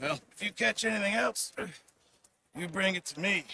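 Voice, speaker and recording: In a put-on character voice, a man speaks raspily at a high pitch and a moderate pace, with lively intonation. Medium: video game. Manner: jovial, chatty.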